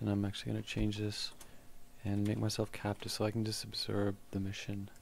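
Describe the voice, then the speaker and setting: A soft-spoken man talks at a moderate pace. His pitch is fairly low. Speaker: gaming tutorial creator. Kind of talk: tutorial. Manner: casual with fillers.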